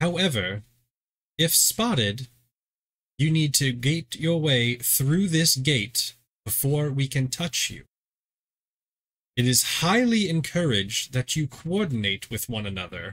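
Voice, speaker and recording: A man puts on a character voice at medium pitch. He speaks fairly slowly, with long, frequent pauses. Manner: stern, instructive.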